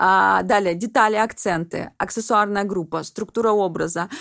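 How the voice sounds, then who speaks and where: A woman talks at a moderate pace in a fairly high pitch, with an ordinary speaking voice. The recording is very clean, with a silent background. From Russian Far East, Vladivostok. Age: 30s. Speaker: personal stylist. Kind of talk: podcast interview.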